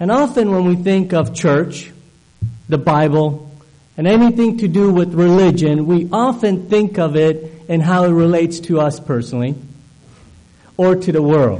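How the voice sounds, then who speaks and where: Speaking at a moderate pace, a man holds a high pitch with ordinary pitch variation and very even loudness. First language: not English. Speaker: guest preacher. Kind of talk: sermon. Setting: church. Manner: halting with fillers.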